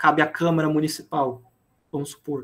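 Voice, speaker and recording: On a very clean recording with a silent background, a man talks at a fairly high pitch. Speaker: teacher. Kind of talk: lecture. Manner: fast.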